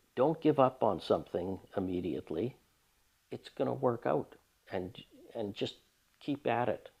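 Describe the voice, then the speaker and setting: At a moderate pace, a man speaks with lively intonation and vocal fry, leaving long, frequent pauses. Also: medium pitch for a man. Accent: Canadian. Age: 70s. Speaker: retired social worker and woodturner. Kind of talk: documentary interview. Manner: halting.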